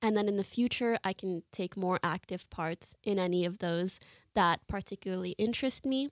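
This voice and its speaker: In a very clean recording with a silent background, a normal speaking voice goes at a moderate pace with fairly even intonation. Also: woman. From Canada. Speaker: live streamer. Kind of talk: interview. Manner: casual.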